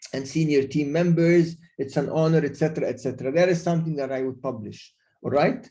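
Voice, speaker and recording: A man talks at a very fast pace with a fairly high pitch and ordinary pitch variation. His tone is dark, mellow and somewhat breathy. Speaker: LinkedIn expert speaker. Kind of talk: webinar presentation. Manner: halting, many fillers and repeats.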